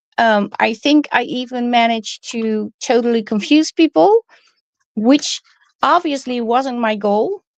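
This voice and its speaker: In a Dutch accent, a woman speaks very slowly at a high pitch with lively intonation, recorded dry and close with no echo. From Netherlands. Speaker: crafting YouTuber. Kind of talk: live stream casual chat. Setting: live stream. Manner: hesitant, many fillers.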